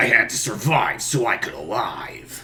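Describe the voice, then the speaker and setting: Someone uses a put-on character voice at a moderate pace. Light background noise can be heard. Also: man. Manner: grim, intense.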